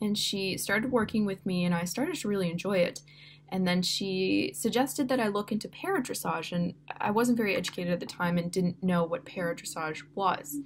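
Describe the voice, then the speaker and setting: Amid noticeable background noise, a woman talks at a fairly quick pace in a Canadian accent, with ordinary pitch variation. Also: medium pitch for a woman. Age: 20s. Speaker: university student and para dressage rider. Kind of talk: personal introduction video. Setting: dorm room. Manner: casual, with many fillers.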